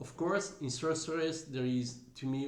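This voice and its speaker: A man talks at a moderate pace with ordinary pitch variation. Audible echo from the room can be heard. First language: Italian. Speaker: musician, singer and bassist. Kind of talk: music reaction commentary. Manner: hesitant, with fillers.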